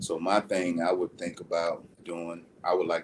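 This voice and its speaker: A man with a Southern US accent speaks in a monotone, flat intonation. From US South, South Carolina. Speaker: youth mentor and boxing coach. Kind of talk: interview. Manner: halting.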